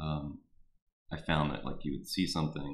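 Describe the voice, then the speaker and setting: The speaker is a man with a Texan accent. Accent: Texan (US Southern) English. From Houston, Texas. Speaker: artist. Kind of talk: artist talk to a class via live stream. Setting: live stream. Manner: halting, many fillers.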